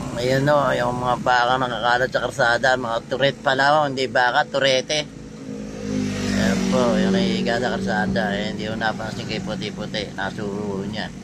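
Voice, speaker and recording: Medium-pitched male speech at a moderate pace, with very wide pitch swings over noticeable background noise. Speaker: patrol driver vlogger. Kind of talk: live roadside vlog commentary.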